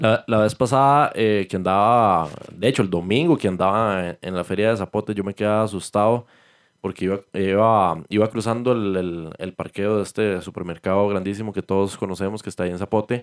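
The recording is very clean, with a silent background. A man with an unremarkable speaking voice talks at a fairly quick pace and a fairly low pitch, with ordinary pitch variation. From Costa Rica, Limón (Caribbean coast). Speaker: chef. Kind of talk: casual chat.

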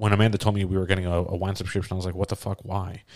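A man speaks in a fairly low, monotone voice with flat intonation. The recording is very clean, with a silent background. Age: 30s. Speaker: podcast co-host, father. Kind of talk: casual chat.

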